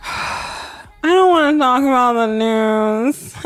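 Putting on a whiny character voice, a woman speaks slowly-ish at a fairly slow pace in a high pitch, whiny in tone, with ordinary pitch variation and audible echo.

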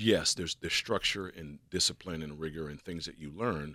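This man speaks with an American accent in a very deep, low voice that carries a bright, sharp tone. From Pittsburgh, Pennsylvania. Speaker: former Secret Service agent. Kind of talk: radio interview. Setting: radio studio.

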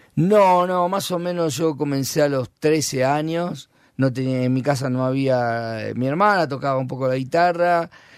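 On a very clean recording with a silent background, a man with an Argentine accent speaks at a fairly slow pace with hardly any pauses, his fairly high pitch showing ordinary variation. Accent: Rioplatense Argentine Spanish. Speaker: rock musician. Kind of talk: casual interview. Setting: radio studio. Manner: halting.

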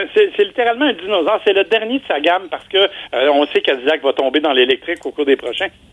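The speech races along at a very fast pace with hardly any pauses. Its pitch swings very widely. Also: man, high pitch for a man. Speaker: car columnist. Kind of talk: radio segment commentary.

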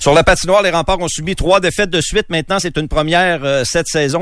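Speaking at a very fast pace, a man uses a fairly high pitch with vocal fry. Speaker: sports reporter. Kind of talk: sports news reading.

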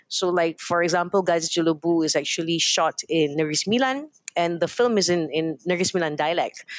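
A woman with a fairly low pitch speaks at a fairly quick pace, with ordinary pitch variation and hardly any pauses. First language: Hokkien. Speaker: company founder and CEO. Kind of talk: radio interview. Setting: studio.

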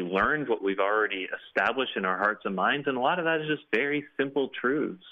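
A man with a Canadian accent speaks at a fairly quick pace with lively intonation. He has a plain, everyday voice. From Canada. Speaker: author and blogger. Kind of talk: interview.

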